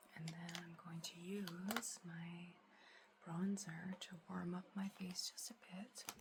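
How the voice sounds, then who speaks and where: Over noticeable background noise, a soft-spoken woman talks very slowly at a fairly low pitch with monotone, flat intonation. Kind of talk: ASMR get ready with me, casual talk to camera.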